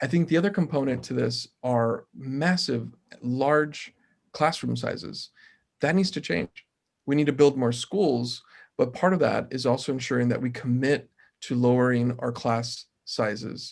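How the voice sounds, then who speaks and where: A man with a medium pitch and ordinary pitch variation takes a fairly slow pace. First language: Spanish. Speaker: mayoral candidate, city council member. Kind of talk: panel Q&A answers.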